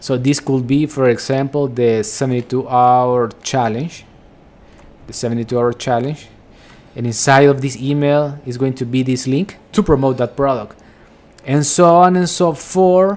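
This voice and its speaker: Speaking at a moderate pace with a Spanish accent, a man uses a medium pitch and ordinary pitch variation. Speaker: affiliate marketing vlogger. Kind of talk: screen-share tutorial. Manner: casual, repetitive with filler words.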